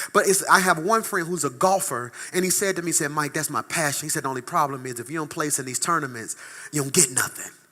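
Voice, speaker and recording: Animated and very fast, a man speaks in a fairly high pitch with a bright, sharp tone. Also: ordinary pitch variation. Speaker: pastor. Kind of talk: sermon.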